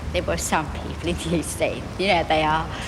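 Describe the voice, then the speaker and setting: Noticeable background noise fills the clip. Through it, a woman talks fairly quickly. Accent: London. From East End of London. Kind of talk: interview answer. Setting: outdoors. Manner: earnest, evocative.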